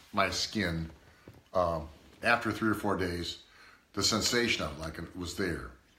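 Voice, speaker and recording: Audible room echo follows a man as he speaks at a moderate pace. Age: 60s. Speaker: product reviewer's father. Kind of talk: casual product review chat. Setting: live video stream. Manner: halting.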